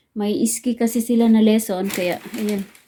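Over noticeable background noise, a woman speaks at a fairly slow pace with a fairly high pitch and fairly even intonation. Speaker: vlogger. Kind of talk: casual vlog talk. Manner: chatty, casual.

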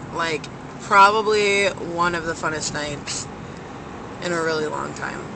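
The speaker has an animated tone, a fairly slow pace and long, frequent pauses. Noticeable background noise runs underneath. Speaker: vlogger. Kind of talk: casual vlog chat. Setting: in a car. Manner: rambling, animated.

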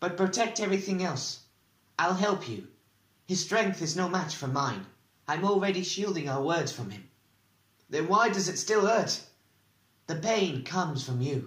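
A man's high-pitched, dramatic delivery with lively intonation and long, frequent pauses. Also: moderate pace. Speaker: audiobook narrator. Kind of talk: dramatic audiobook narration with character voices. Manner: dramatic, tense, shifting voices for each character.

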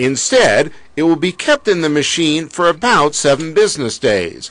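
Over noticeable background noise, a man talks at a moderate pace with lively intonation and a fairly high pitch. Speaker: TV news reporter. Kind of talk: TV news report, scripted voiceover with light humor in the field segment. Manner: polished, brisk, and crisply paced, with a wry tongue-in-cheek tone.

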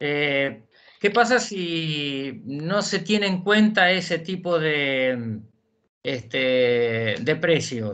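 The speaker talks at a very slow pace in a Rioplatense accent. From Argentina, Buenos Aires province. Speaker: justice of the peace court clerk. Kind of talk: audience question. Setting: video call. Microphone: video call.

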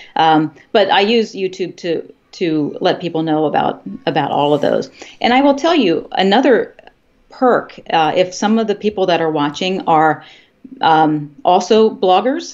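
Faint music plays in the background as a woman speaks with lively intonation. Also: moderate pace. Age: 50s. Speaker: health and fitness YouTuber, former college instructor; fitness YouTuber, former college instructor. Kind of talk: interview. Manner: halting, frequent fillers and repetitions. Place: home room. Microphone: video call.

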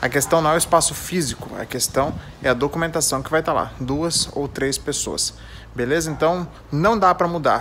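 Speaking at a moderate pace with a Brazilian accent, a man uses a fairly high pitch and ordinary pitch variation over light background noise. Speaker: trike channel host. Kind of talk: tutorial. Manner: casual, informal. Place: garage. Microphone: phone near.

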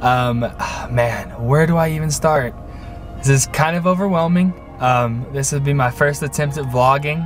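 Faint music plays behind a man who speaks fairly slowly in an American accent, the sound dry with no echo. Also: fairly high pitch for a man, ordinary pitch variation. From Middle Tennessee, USA. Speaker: vlogger. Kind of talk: casual talk to camera. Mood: friendly, a bit nervous. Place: car. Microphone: phone near.

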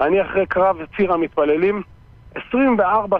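The man has a high pitch with ordinary pitch variation and speaks at a fairly slow pace in a dry sound with no echo. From Israel, West Bank settlement; Israel. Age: 40s. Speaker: reserve soldier; interview guest. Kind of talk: interview. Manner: emphatic. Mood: indignant, defiant. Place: studio.

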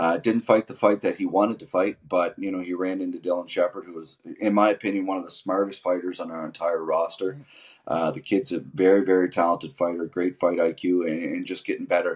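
In a Canadian accent, a man speaks fairly quickly with a very deep, low pitch, fairly even intonation and big swings in loudness against a quiet background. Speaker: MMA fight promoter; guest. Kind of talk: interview. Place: home room. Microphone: video call.

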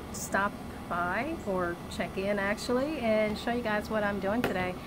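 Loud background noise fills the clip. A woman speaks with ordinary pitch variation. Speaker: home vlogger. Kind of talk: casual vlog chat. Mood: cheerful, upbeat. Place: garden. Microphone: phone near.

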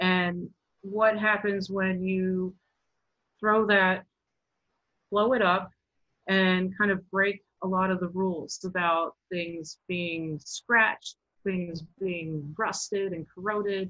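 Very slow, flat, monotone delivery with an American accent, long and frequent pauses, and a quiet background. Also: woman, medium pitch for a woman. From Baltimore, Maryland. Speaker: sculptor and installation artist. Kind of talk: artist talk presentation. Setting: video call. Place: home room. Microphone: webcam.

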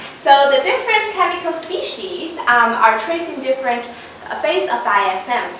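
A woman uses a raised, projected voice at a fairly slow pace. The room has audible echo and noticeable background noise. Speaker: candidate. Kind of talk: lecture. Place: classroom.

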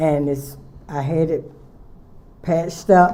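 A woman with a North Carolina accent speaks at a fairly low pitch in a dark, mellow tone. Her fairly slow delivery carries audible room echo. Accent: Southern US (North Carolina). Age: 80s+. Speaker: nonprofit director. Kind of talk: public comment. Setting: city council meeting.

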